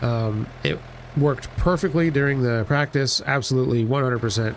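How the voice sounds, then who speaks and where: Noticeable background noise sits behind a man speaking at a moderate pace. His medium-pitched voice has ordinary pitch variation. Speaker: gaming video creator. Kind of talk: let's play commentary. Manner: casual, hesitant with fillers.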